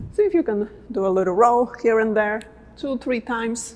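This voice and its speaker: This woman has a non-native accent. She talks at a fairly slow pace. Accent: noticeable non-native. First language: not English. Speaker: dance coach. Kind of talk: tutorial. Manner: casual, conversational.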